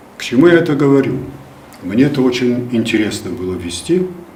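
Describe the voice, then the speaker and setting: Lively intonation carries through the speech despite noticeable background noise. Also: man. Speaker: first announcer of regional radio and television, former theater actor. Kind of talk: interview answer, storytelling from memory.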